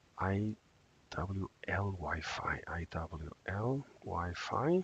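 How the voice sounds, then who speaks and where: A man with a very deep, low pitch speaks at a very slow pace, somewhat breathy, with ordinary pitch variation. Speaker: software developer. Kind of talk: casual live-stream talk while coding. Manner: hesitant, many fillers.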